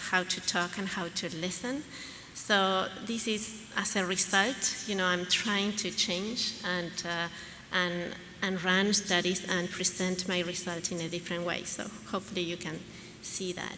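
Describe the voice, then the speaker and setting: Amid audible room echo and noticeable background noise, a woman with a Latin American accent speaks fairly slowly at a medium pitch with fairly even intonation. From Argentina. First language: Spanish. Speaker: pediatrician and researcher. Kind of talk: conference talk. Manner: halting, many fillers.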